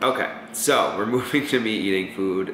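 Over noticeable background noise, a man speaks with fairly low pitch. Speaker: vlogger. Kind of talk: casual vlog chat. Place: kitchen. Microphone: camera far.

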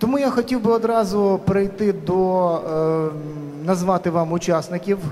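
Over light background noise, a man speaks at a fairly slow pace with ordinary pitch variation. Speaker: panel moderator. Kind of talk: moderator introduction to a panel discussion. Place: hall. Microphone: handheld.

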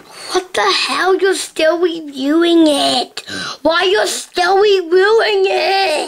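A cartoonish character voice at an extremely high pitch and a very slow pace. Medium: puppet.

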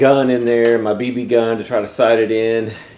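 There is audible room echo as a man speaks. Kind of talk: casual shop tour narration. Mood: fond, reminiscing about his late father. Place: garage. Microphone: phone near.

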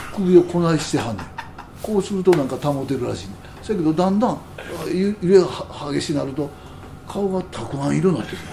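The speech runs at a very fast pace with lively intonation, yet with long, frequent pauses. Noticeable background noise sits behind it. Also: man, high pitch for a man. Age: 70s. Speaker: jazz musician. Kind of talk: casual chat.

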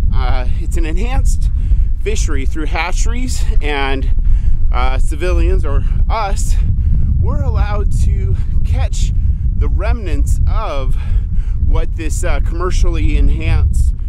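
Speaking at a very slow pace with long, frequent pauses, a man is heard in a dry recording with no echo over loud background noise. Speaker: fishing vlogger. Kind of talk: casual vlog chat. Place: open country. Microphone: phone near.

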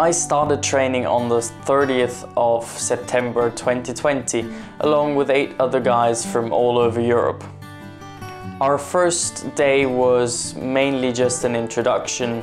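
A man at a fairly slow pace with ordinary pitch variation, clear music in the background. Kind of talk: casual vlog chat. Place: office.

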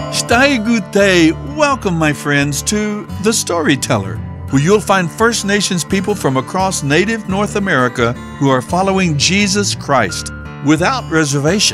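Fairly slow speech, dry and echo-free, with clear music in the background. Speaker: radio program host. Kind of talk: radio broadcast introduction. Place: studio.

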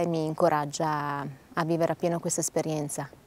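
Her voice sits fairly low, and the woman keeps her intonation fairly level. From Bologna, northern Italy. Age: 30s. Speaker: lay missionary. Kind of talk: testimony. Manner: halting.

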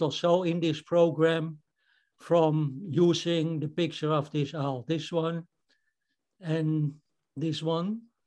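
With a Dutch accent, a man speaks at a very slow pace in a monotone, flat way. The background is quiet. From Netherlands. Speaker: amateur photographer, club member. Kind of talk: photo presentation. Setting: video call. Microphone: video call.

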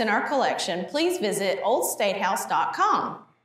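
A woman talks at a moderate pace amid audible room echo. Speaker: museum educator. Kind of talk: educational gallery talk. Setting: museum hallway. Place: hall. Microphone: lapel.

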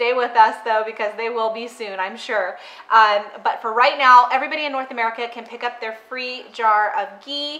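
Bright and sharp in tone, a woman speaks at a fairly quick pace with a high pitch. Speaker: recipe host. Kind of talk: casual livestream chat. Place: kitchen.

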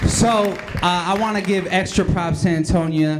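Pitch variation is ordinary. Noticeable background noise runs underneath. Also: man. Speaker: slam emcee. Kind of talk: casual, joking emcee banter between poets. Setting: stage with audience. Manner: relaxed, jokey, conversational, with hesitant fillers. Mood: joking, playful. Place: hall.

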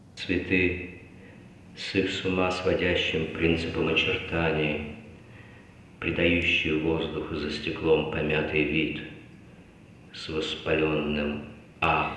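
Very slow, monotone, flat delivery with long, frequent pauses, plus light background noise and audible room echo. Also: man, very deep, low pitch for a man. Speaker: stage actor. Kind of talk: poetry reading. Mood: intense, contemplative. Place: stage.

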